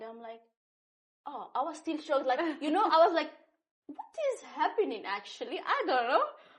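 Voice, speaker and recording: A woman with a non-native accent speaks at a moderate pace in a high pitch, taking long, frequent pauses, her loudness swinging widely and her pitch rising and falling over a very wide range. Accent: foreign. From North Syria and Iraq, Kurdish. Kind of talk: interview answer. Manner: casual, animated storytelling.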